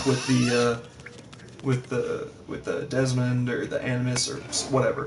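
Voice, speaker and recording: A man's medium-pitched, monotone voice at a fairly slow pace, with flat intonation, audible room echo and music in the background. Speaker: gaming streamer. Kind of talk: casual gameplay commentary. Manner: quieter than usual.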